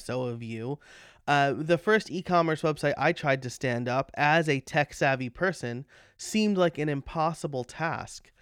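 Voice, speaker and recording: On a very clean recording with a silent background and a dry, close sound with no echo, a man with an American accent speaks at a fairly high pitch. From New York. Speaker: podcast host, web developer. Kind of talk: casual chat. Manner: halting.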